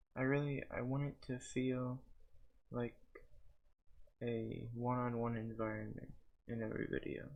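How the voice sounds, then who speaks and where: Delivery comes at a fairly slow pace. Long pauses occur frequently. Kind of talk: ASMR soft-spoken talk to camera.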